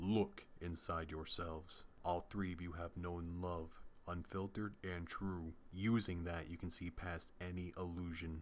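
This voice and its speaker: Putting on a character voice, a man talks at a moderate pace in a very deep, low pitch with monotone, flat intonation over clear background noise. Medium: read story.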